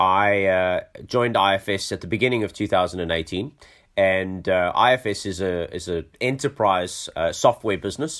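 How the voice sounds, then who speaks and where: With a South African accent, a man speaks at a moderate pace in a very deep, low pitch with ordinary pitch variation. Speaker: tech company chief executive. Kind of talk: podcast interview. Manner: hesitant with many fillers.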